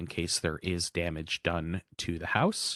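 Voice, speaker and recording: In a dry, close sound with no echo, a man speaks with a very deep, low pitch. The background is quiet. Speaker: housing information presenter. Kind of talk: information session presentation. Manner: fast.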